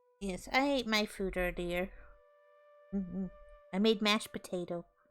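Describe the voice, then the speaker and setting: Moderate pace and fairly even intonation over music in the background. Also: woman, medium pitch for a woman. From Britain. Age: 30s. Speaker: VTuber streamer. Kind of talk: casual chat.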